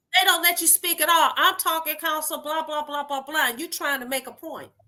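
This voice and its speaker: A woman's bright, sharp, animated voice with an American accent, raised and projected, at an extremely high pitch and a fairly quick pace. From Detroit, US. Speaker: lawyer and judicial candidate. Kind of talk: interview. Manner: loud when excited.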